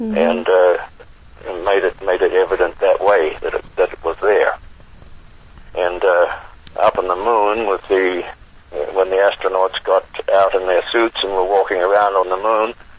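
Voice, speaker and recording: Long, frequent pauses from a man, over noticeable background noise. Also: moderate pace. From New Zealand. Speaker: retired merchant marine radio officer, author. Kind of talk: interview answer.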